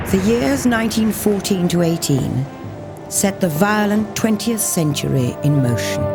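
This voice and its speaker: Over music in the background, a woman speaks in a solemn tone with very wide pitch swings. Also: very even loudness. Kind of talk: documentary narration. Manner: reflective, solemn.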